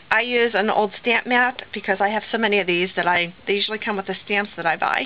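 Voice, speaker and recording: A woman's medium-pitched voice at a fairly quick pace, with fairly even intonation over noticeable background noise. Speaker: crafter. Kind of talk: tutorial.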